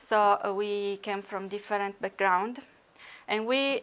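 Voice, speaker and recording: A woman with an Italian accent and fairly even intonation, on a very clean recording with a silent background. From Italy. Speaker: researcher. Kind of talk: conference talk. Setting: conference workshop. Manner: halting, many fillers.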